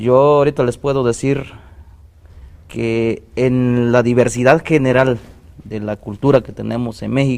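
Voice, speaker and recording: His voice sits at a medium pitch. The man speaks very slowly. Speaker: teacher union representative. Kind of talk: panel debate. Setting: TV studio. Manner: halting.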